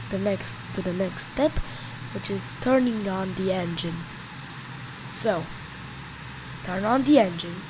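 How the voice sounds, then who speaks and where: Amid noticeable background noise, a woman at medium pitch speaks at a fairly slow pace with ordinary pitch variation and long, frequent pauses. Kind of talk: flight simulator tutorial voice-over. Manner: unscripted, with stutters and restarts.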